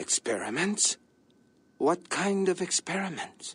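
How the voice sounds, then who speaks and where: The speaker uses a put-on character voice at a middle pitch. It sounds raspy. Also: fairly slow pace. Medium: video game. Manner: formal, measured.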